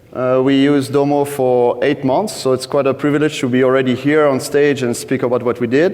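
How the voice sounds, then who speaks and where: With a French accent, a man talks at a medium pitch in a monotone, flat intonation, with hardly any pauses and very even loudness. Noticeable background noise runs underneath. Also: fairly quick pace. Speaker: data team lead at a betting company. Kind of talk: conference talk. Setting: stage with audience.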